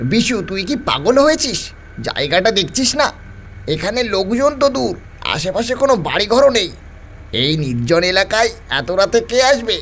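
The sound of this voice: A man's high-pitched put-on character voice at a moderate pace, over clear background noise.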